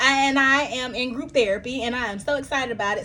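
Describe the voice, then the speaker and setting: This woman talks in an American accent, and her pitch varies in an ordinary way. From US South, Milledgeville, Georgia. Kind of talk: casual vlog monologue. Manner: halting, many fillers and restarts.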